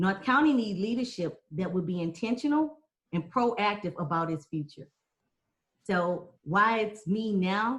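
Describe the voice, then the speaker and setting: Speaking slowly with an American accent, a woman of medium pitch sounds somewhat breathy, with lively intonation. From Texas. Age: 40s. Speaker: political candidate. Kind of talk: debate forum.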